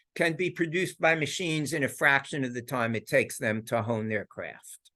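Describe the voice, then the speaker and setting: Very wide pitch swings at a moderate pace over a quiet background. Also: man. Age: 70s. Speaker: psychologist and philosopher. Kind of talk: lecture. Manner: halting, frequent repetitions.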